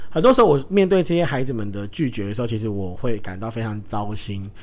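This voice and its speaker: A man is talking here. His pace is fairly quick. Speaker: podcast host who works with children. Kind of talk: solo casual talk. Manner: emotional, animated.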